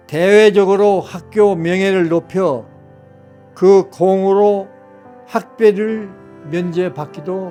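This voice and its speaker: Over music in the background, a man with a high pitch and ordinary pitch variation speaks at a very slow pace, leaving long, frequent pauses. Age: 80s+. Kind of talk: personal memoir told to family.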